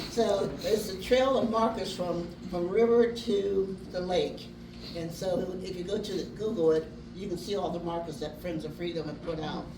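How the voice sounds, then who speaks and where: Amid noticeable background noise and audible room echo, a woman speaks at a moderate pace with a medium pitch and ordinary pitch variation. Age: 80s+. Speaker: descendant of Underground Railroad conductors. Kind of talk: dedication speech.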